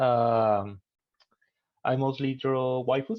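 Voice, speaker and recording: In a Spanish accent, a man speaks at a medium pitch with fairly even intonation. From Colombia. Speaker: digital artist. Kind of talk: panel discussion.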